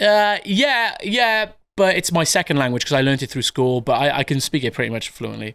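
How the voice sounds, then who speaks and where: A man with a Welsh accent, fairly high in pitch with very wide pitch swings, bright and sharp in tone, at a fairly quick pace in a very clean, silent recording. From Wales. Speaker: artist. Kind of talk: casual chat. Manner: halting.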